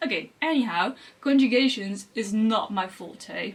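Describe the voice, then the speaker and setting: Speaking fairly slowly with a Dutch accent, a woman uses lively intonation. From Netherlands. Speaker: language learning youtuber. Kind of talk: vlog monologue. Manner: halting.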